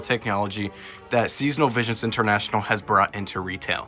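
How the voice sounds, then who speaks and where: A man talking at a fairly quick pace with ordinary pitch variation, music in the background. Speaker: Halloween prop reviewer. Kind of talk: product unboxing and setup narration.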